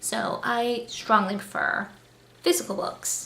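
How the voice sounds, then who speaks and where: The voice is quiet, with fairly even intonation. Room echo is audible. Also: woman. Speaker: booktuber. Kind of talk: casual vlog monologue. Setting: new apartment, home. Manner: quiet, subdued.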